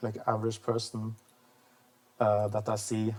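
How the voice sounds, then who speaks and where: The speaker has a Norwegian accent. The pace is moderate. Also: man. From Norway. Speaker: vlogger. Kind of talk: casual monologue. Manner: halting, many fillers and restarts.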